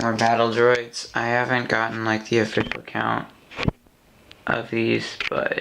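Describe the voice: Slow, flat, monotone delivery with vocal fry and a fairly bright tone in audible room echo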